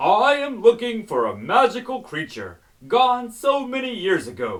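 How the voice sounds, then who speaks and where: Someone performs a put-on character voice at a fairly high pitch, raised and projected, at a moderate pace. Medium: read story. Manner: commanding.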